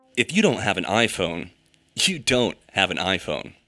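With music in the background, a man at medium pitch speaks at a moderate pace and makes very wide pitch swings. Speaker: creative director. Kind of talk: parody TV commercial read. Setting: studio.

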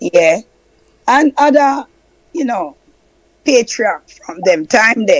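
A woman with a Jamaican accent talks at a very slow pace in a fairly high voice, swinging very widely in pitch and leaving long, frequent pauses. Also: dry, close sound with no echo. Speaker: Rastafari elder. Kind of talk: testimony.

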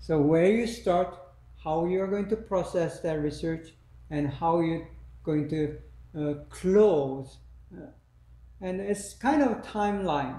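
Speech comes at a very slow pace with long, frequent pauses and ordinary pitch variation. Audible room echo surrounds it. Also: man, high pitch for a man. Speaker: lecturer. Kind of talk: lecture. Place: classroom. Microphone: camera far.

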